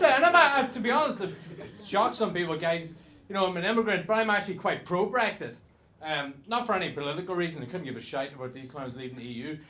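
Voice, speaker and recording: Amid audible room echo, a man with a Northern Irish accent talks very fast at a high pitch, with very wide pitch swings and big swings in loudness. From Northern Ireland. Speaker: stand-up comedian. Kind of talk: stand-up.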